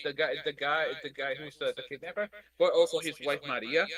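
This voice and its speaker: A man's raised, projected voice carries lively intonation at a moderate pace, dry and close with no echo. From Puerto Rico. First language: Spanish. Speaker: anime podcast panelist. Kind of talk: casual chat.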